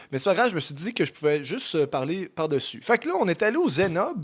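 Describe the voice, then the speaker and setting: His pitch rises and falls in very wide swings. This voice belongs to a man. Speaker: vlogger. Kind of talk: voice-over narration. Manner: casual, hesitant.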